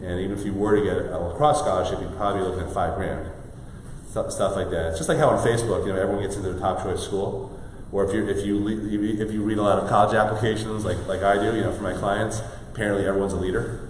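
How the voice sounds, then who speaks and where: A man talks very fast in a fairly low voice, his intonation fairly even. The recording carries audible room echo and noticeable background noise. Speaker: college financial aid advisor and workshop presenter. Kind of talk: live workshop presentation. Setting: live studio audience, streamed on Facebook.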